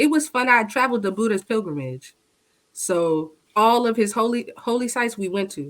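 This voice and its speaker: A woman with a normal speaking voice and fairly high pitch talks at a moderate pace with lively intonation. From United States. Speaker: podcast guest. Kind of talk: casual chat.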